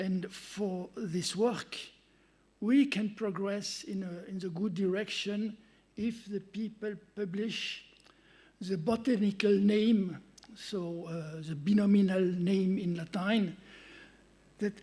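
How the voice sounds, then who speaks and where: A man with a French accent and a dark, mellow tone speaks at a very slow pace with long, frequent pauses, high pitch, and fairly even intonation, with audible room echo. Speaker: conference speaker, researcher. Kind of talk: conference talk. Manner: halting.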